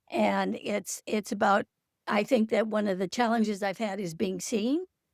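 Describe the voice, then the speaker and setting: With vocal fry, a woman talks at a medium pitch and a moderate pace with ordinary pitch variation, the sound dry and close with no echo. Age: 70s. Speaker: participant, retired poet. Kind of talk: Q&A participant. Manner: halting.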